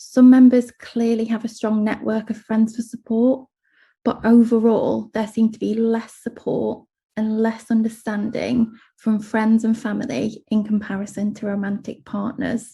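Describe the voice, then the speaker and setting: In an English accent, a woman speaks at a fairly high pitch and moderate pace, her tone dark, mellow and somewhat breathy. Her intonation is monotone and flat. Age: 30s. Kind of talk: panel presentation.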